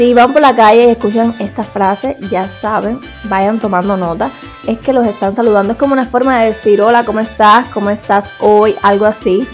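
A woman with a Cuban accent, fairly high in pitch, at a moderate pace, with faint music in the background. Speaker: YouTuber. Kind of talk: casual talk to camera. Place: home room. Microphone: lapel.

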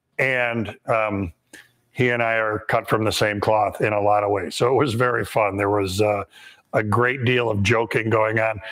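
In a fairly low, monotone voice, a man speaks with flat intonation and very even loudness. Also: moderate pace. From US Midwest. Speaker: woodworking instructor. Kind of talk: live how-to demonstration with viewer Q&A. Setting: live stream from a woodworking shop. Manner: conversational, relaxed, frequent filler words.

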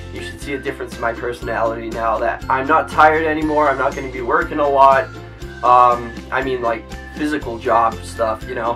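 A man at a fairly quick pace over clear background music. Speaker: youtuber. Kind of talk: casual vlog chat. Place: home room.

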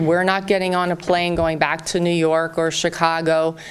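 A woman with a fairly low pitch speaks over noticeable background noise and audible room echo. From US South, Southern Virginia. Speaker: real estate company representative. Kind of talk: public town hall address. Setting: town hall meeting with large audience. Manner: warm, informal with fillers.

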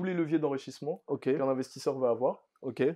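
A man's dark, mellow tone at a fairly quick pace, with ordinary pitch variation against a quiet background. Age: 20s. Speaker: entrepreneur; podcast guest. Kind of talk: interview. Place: home room.

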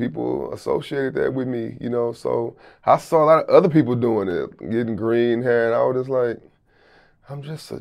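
Over a quiet background, a man with an American accent talks at a fairly quick pace. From Houston, Texas. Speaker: rapper and music producer. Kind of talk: casual interview. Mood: relaxed, reflective, candid. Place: studio. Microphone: lapel.

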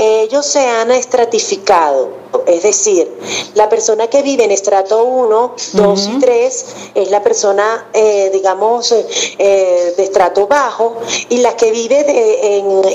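Against noticeable background noise, the voice moves at a very slow pace with very even loudness. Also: woman, fairly high pitch for a woman, ordinary pitch variation. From Venezuela. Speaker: journalist, host, announcer. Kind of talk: interview answer.

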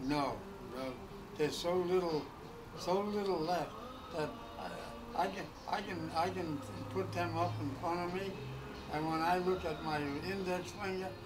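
A man's voice broken by long, frequent pauses, with noticeable background noise. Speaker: war veteran. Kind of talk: casual conversation. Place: shop. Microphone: camera far.

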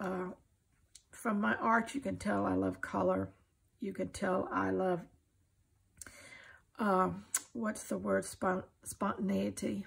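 A woman with an American accent speaks slowly at a medium pitch, with little pitch movement and long, frequent pauses. Her voice has a husky, rough edge and vocal fry.

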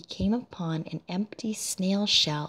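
Soft-spoken and somewhat breathy, a woman talks at a fairly low pitch with ordinary pitch variation. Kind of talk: read fairy tale.

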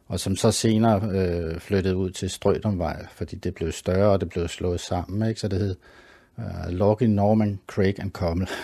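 A man with a very deep, low voice and a dark, mellow tone talks at a fairly slow pace in a flat monotone. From Copenhagen, Denmark (Sydhavnen). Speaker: artist and graphic designer. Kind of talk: interview. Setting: home studio. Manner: halting, many fillers and repeats.

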